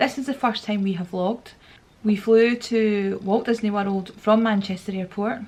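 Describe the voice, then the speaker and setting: A woman's fairly high, somewhat breathy voice in a Scottish accent, at a moderate pace with fairly even intonation. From Scotland, Glasgow. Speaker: travel vlogger. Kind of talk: casual vlog narration. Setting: airport.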